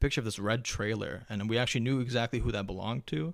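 A man's fairly low voice at a very fast pace, with an American accent. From US, first-generation Afghan American. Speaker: podcast guest. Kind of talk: casual chat.

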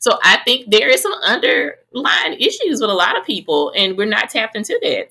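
A woman speaks in a Southern US accent with a bright, sharp tone. Her pitch swings very widely. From Mississippi, Greenville. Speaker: podcast host and health professional. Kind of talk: casual chat.

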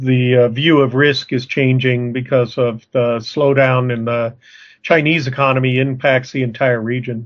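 With an American accent, a man speaks at a moderate pace and medium pitch with fairly even intonation. He has a normal speaking voice. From Arizona. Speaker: podcast co-host, working capital consultant. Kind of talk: casual discussion.

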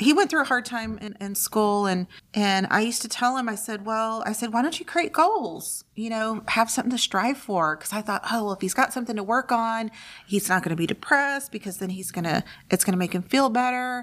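At a fairly quick pace, a woman talks with an ordinary speaking voice, a fairly high pitch and ordinary pitch variation. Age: 50s. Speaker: library podcast co-host. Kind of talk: casual chat.

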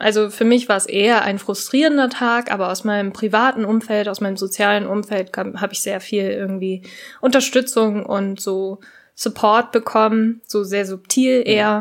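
A woman's fairly high voice at a moderate pace on a very clean recording with a silent background. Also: fairly even intonation. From Japan. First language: Japanese (speaking German). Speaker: podcast co-host. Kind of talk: casual chat.

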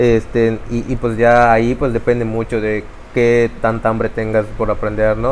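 With noticeable background noise behind him, a man with a Yucatecan accent speaks at medium pitch, fairly slowly, in a monotone, flat intonation. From Yucatán, Mexico. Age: 30s. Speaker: tech company CEO. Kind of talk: interview.

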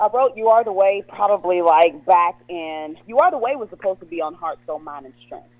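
A woman's medium-pitched voice, a normal speaking voice, fairly quick and with hardly any pauses, with lively intonation. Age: 30s. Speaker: gospel singer. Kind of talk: casual interview.

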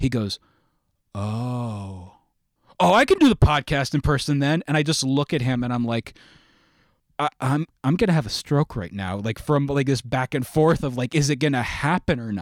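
An unremarkable speaking voice: a man at medium pitch with an American accent, lively intonation and a moderate pace, in a dry, close sound with no echo and a very clean recording with a silent background. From New York State, Sullivan County. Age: 30s. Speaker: podcast host. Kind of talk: casual interview chat.

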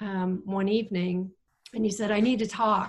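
A woman talks with an American accent in a normal speaking voice, her pitch medium. Her pace is moderate and her intonation fairly even. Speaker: missionary. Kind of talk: testimony.

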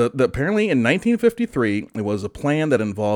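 A man with a Michigan accent talks in an animated tone at a medium pitch, his voice swinging very widely up and down. The recording is very clean with a silent background and a dry, close sound with no echo. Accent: Michigan general American. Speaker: podcast host. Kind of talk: casual comedic banter about weird news. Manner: joking, animated.

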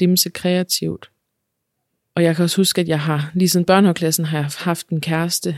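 On a very clean recording with a silent background and a dry, close sound with no echo, a woman speaks at a moderate pace with monotone, flat intonation. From Denmark, central Jutland near Herning. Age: 30s. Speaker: podcast guest sharing her life story. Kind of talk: personal testimony interview. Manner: hesitant, many fillers.

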